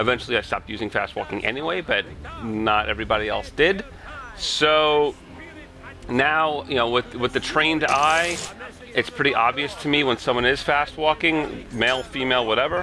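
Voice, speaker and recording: Over noticeable background noise, a man with an American accent talks at a moderate pace and medium pitch with ordinary pitch variation. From US Northeast, Long Island, New York. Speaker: gaming YouTuber. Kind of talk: gameplay commentary Q&A. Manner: casual, hesitant with fillers.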